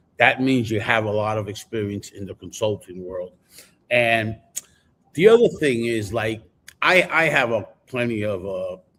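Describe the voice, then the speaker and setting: A man with an American accent and a fairly low pitch has an ordinary speaking voice, ordinary pitch variation, and big swings in loudness. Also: moderate pace. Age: 60s. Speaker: podcast co-host, car industry veteran. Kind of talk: casual panel discussion. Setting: live stream.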